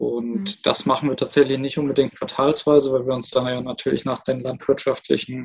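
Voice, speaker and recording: An unremarkable speaking voice with fairly even intonation. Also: man. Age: 20s. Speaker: startup co-founder. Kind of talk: interview.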